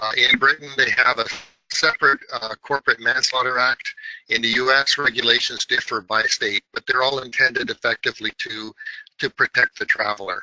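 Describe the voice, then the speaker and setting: A man speaks at a fairly quick pace, the sound dry and close with no echo. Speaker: tech company presenter. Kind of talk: webinar presentation. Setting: online webinar. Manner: hesitant with fillers.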